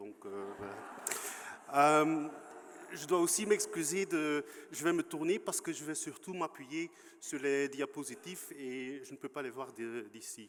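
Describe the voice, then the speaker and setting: A man with a Flemish accent, fairly high in pitch, at a fairly slow pace with ordinary pitch variation, big swings in loudness, and long, frequent pauses. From Flanders, Belgium. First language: Flemish (Dutch) (speaking French). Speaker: historian and museum curator. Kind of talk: conference lecture. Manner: searching for words at times.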